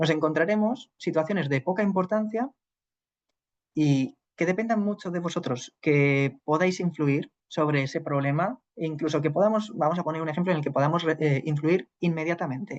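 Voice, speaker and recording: A man's fairly high voice with ordinary pitch variation, at a moderate pace. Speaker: psychologist teaching a class. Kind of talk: lecture.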